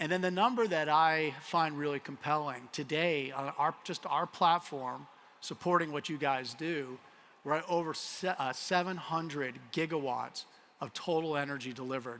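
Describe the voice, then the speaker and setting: This man speaks with a Colorado accent, his pitch fairly high and its variation ordinary. His pace is moderate and his tone bright and sharp. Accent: American, Colorado. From US, Colorado. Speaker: tech company CEO. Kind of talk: conference keynote. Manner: casual, with frequent fillers.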